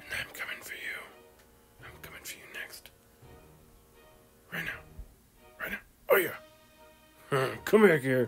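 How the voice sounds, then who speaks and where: Pitched in the middle, a raspy put-on character voice plays over faint background music. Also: fairly slow pace. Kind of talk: comic overacting. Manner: mock-menacing, hammy.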